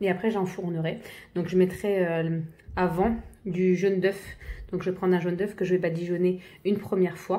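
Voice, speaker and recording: A woman speaks at a moderate pace and a medium pitch, with a dark, mellow tone. Her intonation is monotone and flat, broken by long, frequent pauses. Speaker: home cook. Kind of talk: tutorial. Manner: halting, many fillers.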